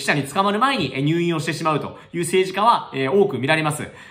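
A man talks at a very fast pace in a high voice. His intonation is lively. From Tokyo, Japan. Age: 30s. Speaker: politician, member of the House of Councillors. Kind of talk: political commentary vlog to camera. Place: office. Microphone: webcam.

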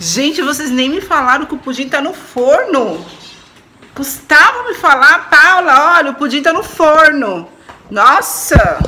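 Over light background noise, a woman uses a raised, projected voice with lively intonation at a fairly slow pace. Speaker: home vlogger. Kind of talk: casual vlog chat. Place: kitchen. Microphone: phone near.

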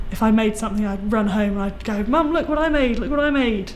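The speaker is a woman talking at a fairly quick pace. Light background noise can be heard. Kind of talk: interview answer. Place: workshop.

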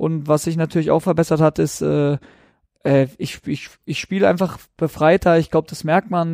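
A man's dark, mellow voice, fairly high in pitch, at a moderate pace, in a very clean, dry, close recording with no echo and a silent background. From South Baden, Germany. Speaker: professional footballer. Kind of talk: podcast interview.

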